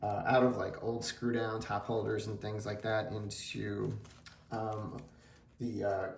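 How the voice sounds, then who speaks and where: Amid noticeable background noise and audible room echo, a man mumbles at a fairly low pitch in a flat monotone at a fairly slow pace. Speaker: sports card collector YouTuber. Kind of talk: casual vlog. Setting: home card room on camera. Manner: mumbling.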